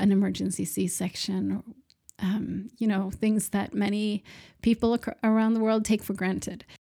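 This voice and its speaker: The woman speaks with a Swedish accent and a dark, mellow tone. Her intonation is fairly even. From Sweden. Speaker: nonprofit founder and podcast host. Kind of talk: solo podcast monologue.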